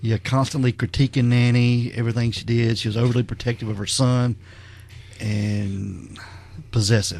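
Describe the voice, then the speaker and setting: A man with a plain, everyday voice speaks at a moderate pace, medium in pitch, with fairly even intonation. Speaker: podcast host. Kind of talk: casual podcast conversation.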